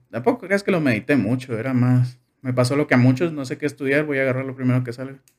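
A man at medium pitch, talking very fast with ordinary pitch variation. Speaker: engineering graduate. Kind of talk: casual chat.

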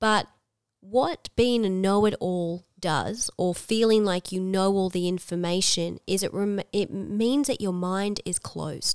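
With an Australian accent, a woman speaks at a medium pitch and a fairly slow pace. Her intonation is fairly even, and the sound is dry and close with no echo. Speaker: podcast co-host, school worker. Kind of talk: casual chat. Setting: at home across a coffee table.

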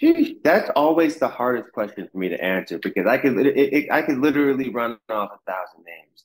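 A man talks at a fairly quick pace with hardly any pauses and vocal fry, at a medium pitch. His intonation is lively and his loudness swings widely. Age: 30s. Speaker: singer and actor. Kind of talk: interview. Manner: casual, relaxed.

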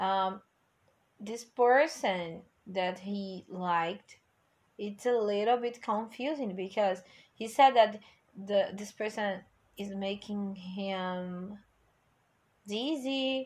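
The speech moves at a very slow pace with long, frequent pauses and big swings in loudness, while the pitch varies in an ordinary way. The recording is very clean, with a silent background. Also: woman, medium pitch for a woman. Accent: Portuguese. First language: Portuguese. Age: 20s. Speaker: English teacher and music podcaster. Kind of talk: casual song review monologue.

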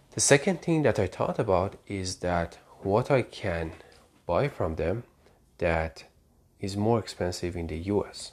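A man with a Persian accent and a fairly low pitch speaks at a fairly slow pace with lively intonation and long, frequent pauses, over a quiet background. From Iran, Tehran. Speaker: podcast host. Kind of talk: personal monologue.

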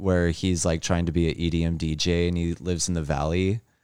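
A man with an American accent talks at a fairly quick pace and a very deep, low pitch. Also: very clean recording, silent background. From California. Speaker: podcast host. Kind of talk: casual chat. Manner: animated.

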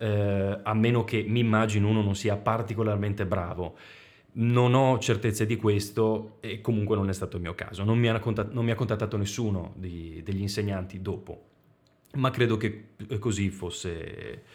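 With a slight Venetian accent, a man speaks at a moderate pace and a fairly low pitch with fairly even intonation. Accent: mild Veneto accent, mostly in the R. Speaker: voice actor in training. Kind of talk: casual chat.

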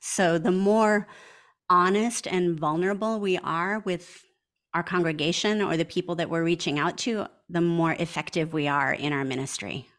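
A woman's normal speaking voice, fairly low in pitch, with an American accent, moderate pace and ordinary pitch variation, on a very clean recording with a silent background. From US Midwest, small town Wisconsin. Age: 50s. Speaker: pastor. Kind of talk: interview.

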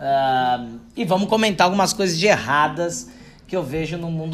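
This man has a normal speaking voice with ordinary pitch variation. He talks at a fairly slow pace. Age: 30s. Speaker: podcast host, marketing consultant. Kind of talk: casual solo monologue. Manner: informal, joking.

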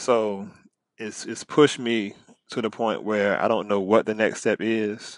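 A man with an American accent talks in a fairly low pitch at a moderate pace. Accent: Southern country, mostly contained. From Virginia, US South. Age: 20s. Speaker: high school English teacher. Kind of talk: casual interview.

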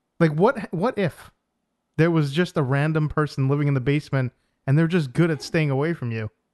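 A man with an American accent and an ordinary speaking voice talks at a fairly quick pace, his pitch fairly high with ordinary variation, in a dry, close sound with no echo. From New York. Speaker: podcast co-host. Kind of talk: casual banter podcast.

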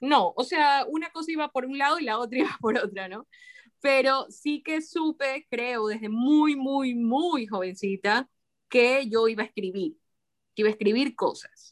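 With a dry, close sound and no echo, a woman speaks slowly-ish, at a fairly slow pace, in a high pitch. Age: 40s. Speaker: writer. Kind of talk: casual interview chat.

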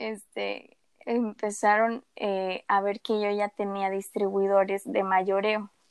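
At a very slow pace, a woman speaks in a flat, monotone way at medium pitch, the sound dry and close with no echo and the background quiet. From Mérida, Yucatán, Mexico. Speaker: entrepreneur. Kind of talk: interview.

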